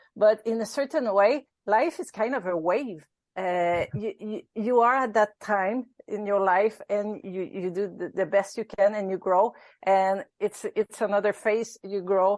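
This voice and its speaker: In a Quebec accent, the speaker goes at a fairly slow pace with ordinary pitch variation, the sound dry and close with no echo over a quiet background. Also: woman, medium pitch for a woman. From Quebec, Canada. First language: French. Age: 50s. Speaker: ultrarunner. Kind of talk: interview. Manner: halting.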